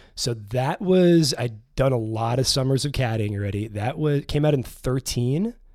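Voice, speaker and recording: A man's normal speaking voice at medium pitch, moderate pace and ordinary pitch variation, in a very clean recording with a silent background. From New York City. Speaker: filmmaker and writer, former golf caddie. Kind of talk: casual chat. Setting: studio.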